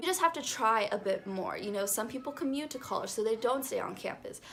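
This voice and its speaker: Over noticeable background noise, a woman talks at a fairly quick pace with ordinary pitch variation. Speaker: beauty and lifestyle vlogger. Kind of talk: advice vlog. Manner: fast; animated.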